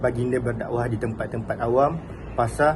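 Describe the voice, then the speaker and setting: A man speaks at a medium pitch in a flat monotone. Audible room echo and noticeable background noise surround his voice. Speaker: student. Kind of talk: class presentation.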